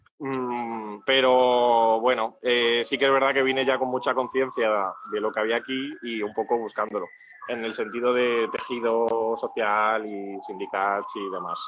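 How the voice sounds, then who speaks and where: Against noticeable background noise, a man speaks at a fairly slow pace in a medium pitch with monotone, flat intonation. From Andalusia, Spain (Úbeda, Jaén). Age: 20s. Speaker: tenant on rent strike. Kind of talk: interview.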